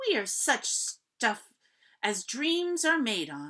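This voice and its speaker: A female-sounding put-on character voice, raised and projected, sits fairly high in pitch and moves at a very slow pace with very wide pitch swings. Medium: read story. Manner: pleased, quoting.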